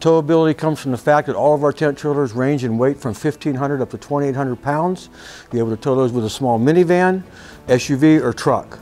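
Faint music sits in the background. A man speaks at a fairly quick pace with ordinary pitch variation. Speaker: RV salesperson. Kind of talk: product walk-around presentation. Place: shop. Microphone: lapel.

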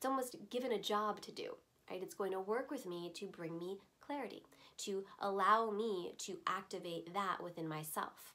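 A calm, bright, sharp tone with ordinary pitch variation at a moderate pace. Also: woman. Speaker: voiceover artist, crystal teacher. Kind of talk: instructional explanation to camera. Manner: calm, conversational. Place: shop.

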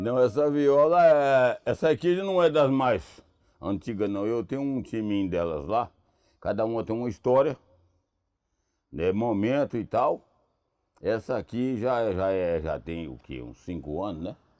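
A man with a rural Minas Gerais accent and a dark, mellow tone speaks at a fairly slow pace with long, frequent pauses. His voice shows very wide pitch swings and big swings in loudness against a quiet background. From Minas Gerais, Brazil. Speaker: country music singer. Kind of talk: interview answer. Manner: good-humoured, unhurried. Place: open country. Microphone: lapel.

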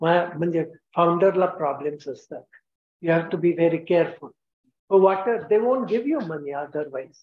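Audible room echo follows a man speaking with an Indian accent. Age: 80s+. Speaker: scientist and entrepreneur, keynote speaker; keynote speaker. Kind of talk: keynote lecture. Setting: stage with audience. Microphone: video call.

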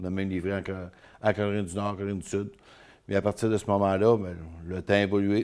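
This man's voice has a very deep, low pitch. His delivery is monotone, with flat intonation. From Île d'Orléans, Quebec; Quebec. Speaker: mayor, former truck driver; mayor. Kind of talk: interview. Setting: studio. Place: studio.

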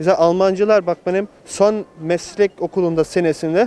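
Man at a moderate pace, dry sound with no echo. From Germany (Munich), Turkish family; Germany. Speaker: returned emigrant, electrician; interviewee. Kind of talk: street interview. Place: street. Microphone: handheld.

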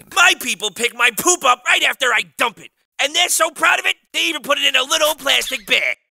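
A man uses a put-on character voice at an extremely high pitch. He speaks at a fairly quick pace. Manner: taunting, boastful.

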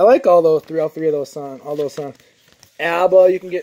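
The man's delivery is fairly quick. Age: 20s. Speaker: YouTuber showing garage sale finds. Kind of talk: casual vlog. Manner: animated. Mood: amused, mildly frustrated. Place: garage. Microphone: phone near.

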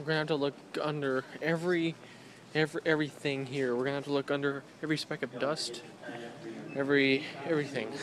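A man talks at a very fast pace in a monotone, flat intonation, with a dry sound that has no echo and noticeable background noise. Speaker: vlogger. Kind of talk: casual vlog chat. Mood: playful, joking. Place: shop. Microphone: phone near.

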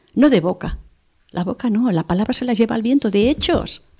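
A woman is speaking. The background is quiet. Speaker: medium and healer; radio guest. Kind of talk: interview. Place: studio. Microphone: studio mic.

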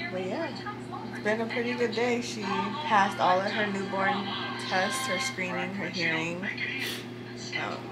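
With clear music in the background, a woman speaks at a fairly slow pace, leaving long, frequent pauses. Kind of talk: casual vlog chat.

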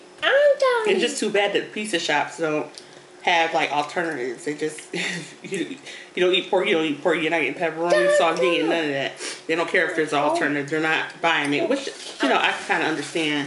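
Loud background noise fills the clip. Over it, a woman talks at a very fast pace. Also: ordinary pitch variation. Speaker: mother vlogger. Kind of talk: casual mukbang chat. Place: home room. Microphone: phone near.

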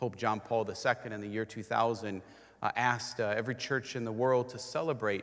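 His speed is moderate. The man's intonation stays monotone and flat. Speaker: priest leading Mass. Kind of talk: liturgical greeting and introduction. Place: church.

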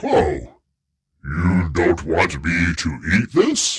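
A man speaks very slowly in a put-on character voice. His pitch sits very deep and low. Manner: smiling, cheerful.

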